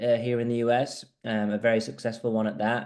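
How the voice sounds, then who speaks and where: A man with a Yorkshire accent speaks at a moderate pace in a medium pitch. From northern England, Huddersfield. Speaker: squash coach. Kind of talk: interview, video call presentation.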